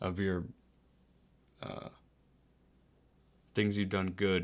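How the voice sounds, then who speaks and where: Very deep and low in pitch, a man speaks at a fairly slow pace in a monotone, flat intonation. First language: not English. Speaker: Twitch streamer. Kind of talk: casual live stream chat. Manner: rambling, conversational.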